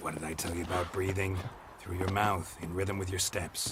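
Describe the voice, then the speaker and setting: Clear background noise sits under a put-on character voice. The pace is moderate. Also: man, very deep, low pitch for a man. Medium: video game. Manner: terse, dry.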